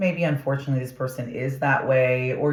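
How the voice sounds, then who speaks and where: The speech goes at a moderate pace. Noticeable background noise sits behind it. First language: not English (English is third language). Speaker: tarot reader. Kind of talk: tarot reading monologue. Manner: casual, animated.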